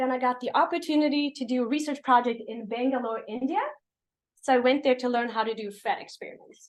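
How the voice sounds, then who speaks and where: Talking at a very fast pace, a woman with a high pitch and a slight Swedish accent shows ordinary pitch variation. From Sweden. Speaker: professor. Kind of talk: lecture. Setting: seminar with audience.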